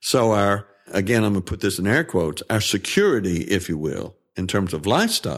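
Over a silent background in a very clean recording, a man with a Southern US accent talks at a moderate pace in a fairly low pitch. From Tennessee. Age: 70s. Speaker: worship pastor. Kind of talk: interview.

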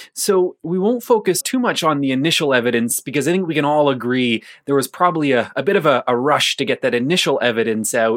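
In a very clean recording with a silent background, a man speaks at a fairly quick pace with a fairly high pitch and lively intonation. His is an unremarkable speaking voice. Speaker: podcast host. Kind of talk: interview. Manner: casual, jokey.

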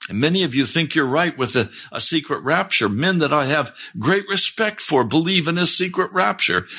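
Vocal fry runs through a man's bright, sharp, fairly high voice. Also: moderate pace. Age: 70s. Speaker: pastor. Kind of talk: sermon. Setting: live-streamed broadcast with chat.

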